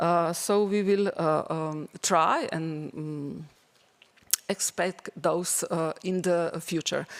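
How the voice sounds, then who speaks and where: A woman speaks at a medium pitch with a non-native accent. Her pitch variation is ordinary. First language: not English. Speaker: teacher presenting school project. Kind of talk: conference presentation. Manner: halting, many fillers.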